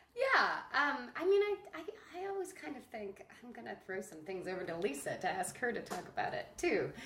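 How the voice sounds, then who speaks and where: A high-pitched woman with an American accent at a moderate pace, with very wide pitch swings and big swings in loudness, amid noticeable background noise. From northeastern New Jersey. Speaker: theater maker. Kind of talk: casual chat.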